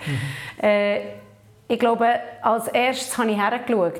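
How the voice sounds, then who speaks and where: A woman speaks at a medium pitch and a moderate pace. Audible room echo is present. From Papua New Guinea, then Switzerland. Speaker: social entrepreneur and conference speaker. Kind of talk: interview. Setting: video interview at a conference.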